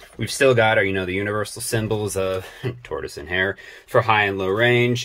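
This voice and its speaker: A man with a plain, everyday voice speaks at a fairly quick pace and fairly low pitch, his intonation fairly even. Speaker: farmer showing his new tractor. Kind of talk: casual walkthrough tutorial. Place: farm machine.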